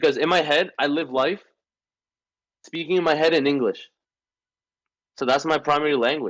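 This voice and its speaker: With a Spanish accent, a man speaks in an animated tone at very even loudness, leaving long, frequent pauses. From Venezuela. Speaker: podcast co-host. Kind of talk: casual chat. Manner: fast, animated with many restarts.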